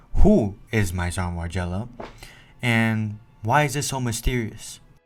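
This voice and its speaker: A man's fairly low voice at a fairly slow pace with ordinary pitch variation, over music in the background. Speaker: fashion content creator. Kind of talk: research presentation. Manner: loud; halting.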